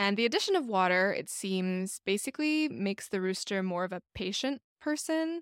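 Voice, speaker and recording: A woman with an American accent speaks at a moderate pace and medium pitch in an unremarkable speaking voice, recorded very cleanly against a silent background with a dry, close sound and no echo. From United States, Chinese American family. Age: 30s. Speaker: podcast co-host. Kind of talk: casual chat.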